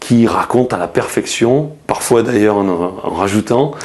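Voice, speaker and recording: With noticeable noise in the background, a man talks fairly slowly and his pitch varies in an ordinary way. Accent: slight Marseille. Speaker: journalist. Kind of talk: interview. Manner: hesitant, many fillers and restarts.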